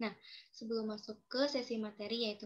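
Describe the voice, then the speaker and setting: Somewhat breathy, a woman with a fairly high pitch talks at a fairly quick pace. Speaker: student podcast host. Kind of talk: casual student podcast hosting. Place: home room. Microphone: video call.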